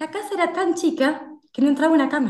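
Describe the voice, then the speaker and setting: A woman speaks at a moderate pace in an Argentine accent, with audible room echo. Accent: Rioplatense Argentine Spanish. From Buenos Aires, Argentina. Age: 40s. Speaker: food inspector and nutritionist. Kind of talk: casual chat.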